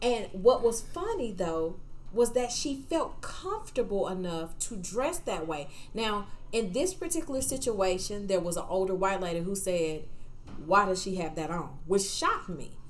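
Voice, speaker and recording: Here is a woman with an ordinary speaking voice, medium in pitch. Her intonation is lively and her pace moderate. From outside the US South. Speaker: podcast co-host and program director. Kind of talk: casual chat.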